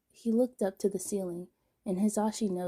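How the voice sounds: Heard against a quiet background, a natural reading voice keeps its intonation fairly even.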